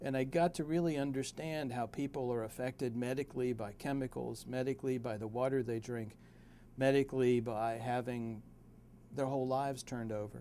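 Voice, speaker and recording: In an American accent, a man with a dark, mellow tone and medium pitch talks at a fairly quick pace with fairly even intonation. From West Virginia (Beckley). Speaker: personal injury lawyer. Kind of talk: self-introduction to camera. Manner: hesitant, some filler words.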